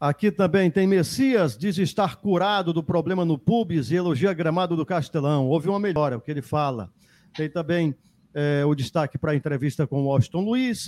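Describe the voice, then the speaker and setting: An ordinary speaking voice from a man, fairly high in pitch, with lively intonation and a moderate pace, in a very clean recording with a silent background and a dry, close sound with no echo. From Ceará interior, Brazil. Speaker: sports radio host. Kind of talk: sports talk show. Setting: studio, live radio and YouTube.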